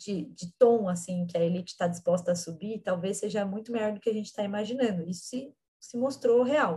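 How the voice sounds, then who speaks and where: Somewhat breathy and dark, mellow in tone, a woman speaks at a moderate pace with a fairly high pitch. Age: 20s. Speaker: actress and political activist. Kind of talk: interview.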